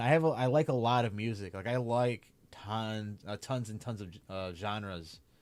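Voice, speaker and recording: Fairly low male speech captured on a very clean recording with no background sound. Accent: Chicago. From Chicago area, US. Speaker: streamer and anime content creator. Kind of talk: casual livestream Q&A. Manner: casual with many fillers.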